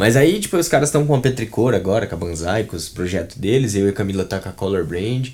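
With lively intonation, a man speaks very fast in a fairly low, somewhat breathy voice. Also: hardly any pauses. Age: 20s. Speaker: brand designer and art director. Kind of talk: casual interview chat. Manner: halting, many fillers and repetitions.

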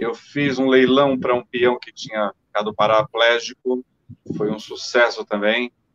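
A man talks fairly slowly at a medium pitch with fairly even intonation and big swings in loudness. The sound is dry and close, with no echo. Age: 50s. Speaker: former radio announcer. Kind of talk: casual chat.

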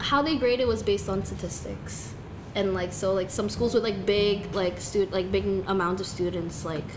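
A woman speaks at medium pitch and a moderate pace with ordinary pitch variation, heard with audible room echo and noticeable background noise. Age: young. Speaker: singer. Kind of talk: casual chat. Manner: frequent fillers, casual.

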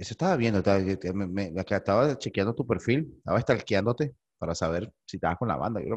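Here a man talks at a very fast pace. His fairly low voice has lively intonation. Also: quiet background. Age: 40s. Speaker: podcast host. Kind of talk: casual chat.

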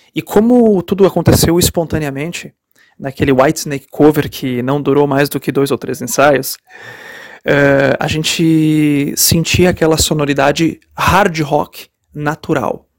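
The delivery is fairly slow, in an ordinary speaking voice. Pitch varies in an ordinary way. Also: man, fairly high pitch for a man. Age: 30s. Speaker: rock musician. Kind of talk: interview answers. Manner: many fillers and repetitions.

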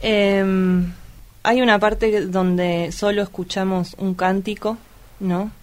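In a monotone, flat intonation, a woman of medium pitch speaks at a very slow pace. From Argentina, Luján (Buenos Aires province). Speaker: photographer and activist. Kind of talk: casual film discussion.

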